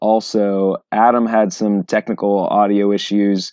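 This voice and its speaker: In a Southern US accent, a man speaks at a fairly low pitch with monotone, flat intonation. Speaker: podcast host. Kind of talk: scripted intro.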